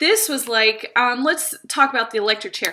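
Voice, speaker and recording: Talking at a fairly quick pace, a woman uses a raised, projected voice with an animated tone and very wide pitch swings. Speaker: English teacher vlogger. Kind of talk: casual vlog storytelling. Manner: loud.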